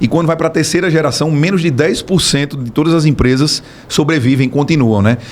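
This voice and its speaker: A man with an unremarkable speaking voice talks at a fairly quick pace, his fairly high pitch showing ordinary variation. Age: 30s. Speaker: business owner, builder. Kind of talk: podcast interview.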